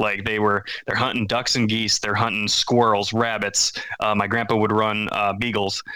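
A man's fairly low voice with a Wisconsin accent, monotone and flat in intonation, at a moderate pace. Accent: Upper Midwest (Wisconsin). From central Wisconsin. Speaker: hunter, parent. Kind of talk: casual chat.

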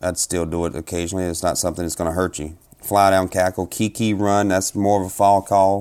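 With a South Carolina accent, a man speaks in a very deep, low pitch. His intonation stays fairly even. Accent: Southern US (South Carolina). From US South, South Carolina. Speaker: turkey hunter and competition caller. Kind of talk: casual interview.

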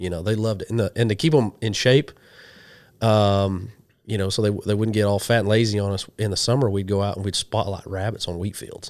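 A man with an American accent speaks fairly quickly at a fairly low pitch, keeping his intonation fairly even. The recording is very clean with a silent background. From western Oklahoma. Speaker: hunting TV host and ordained minister. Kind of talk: casual interview chat. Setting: in person, sharing a couch with the host.

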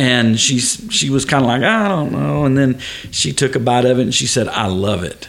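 Noticeable background noise sits behind a man with a Texan accent. He speaks at a medium pitch with lively intonation. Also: moderate pace. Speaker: father of host, hunter. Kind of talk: casual chat.

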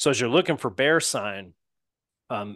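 Against a quiet background, a man talks at a moderate pace. His tone is bright and sharp, and the sound is dry and close with no echo. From not the South, lived across US and Rocky Mountains. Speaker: hunter and doctor. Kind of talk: casual interview chat.

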